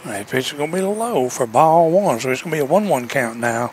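With a Southern US accent, a man speaks at a moderate pace with very wide pitch swings amid noticeable background noise. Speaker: sports broadcaster. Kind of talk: live baseball play-by-play commentary. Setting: outdoors at a baseball park, broadcast on TV. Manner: brisk, steady play-by-play delivery, calling each pitch and count.

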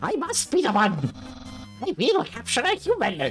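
Someone performs a put-on character voice while clear music plays in the background. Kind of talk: reading game dialogue aloud in character. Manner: pompous, boastful.

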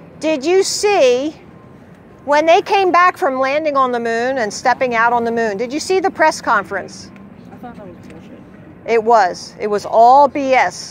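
Animated delivery with big swings in loudness and very wide pitch swings, dry with no echo, over light background noise. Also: woman, high pitch for a woman, moderate pace. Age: 60s. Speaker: flat earth street activist; speaker. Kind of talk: heated debate; impassioned street talk. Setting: outdoors. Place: street. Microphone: camera far.

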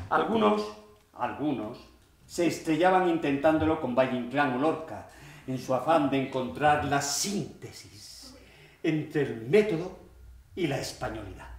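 Through audible room echo, a man talks at a fairly slow pace with lively intonation and long, frequent pauses. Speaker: actor or author giving a reading. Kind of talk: dramatic reading of a monologue. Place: stage. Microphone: camera far.

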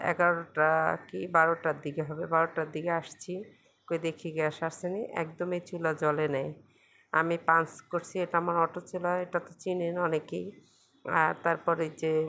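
Against a quiet background, a woman with a fairly low pitch talks in a bright, sharp tone with monotone, flat intonation. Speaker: cooking vlogger. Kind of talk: cooking vlog narration. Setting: home kitchen. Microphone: mobile phone.

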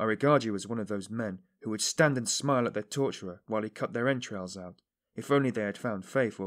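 Here is plain reading aloud with ordinary pitch variation. It sits over a quiet background.

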